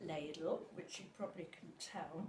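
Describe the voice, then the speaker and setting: A woman's somewhat breathy voice has a dark, mellow tone, with audible room echo. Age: 80s+. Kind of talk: casual chat. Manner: halting.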